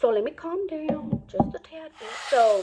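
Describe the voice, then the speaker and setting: A woman's animated tone against noticeable background noise. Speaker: beauty and lifestyle vlogger. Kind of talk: storytime while doing makeup. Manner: fast; animated, code-switching English and Spanish.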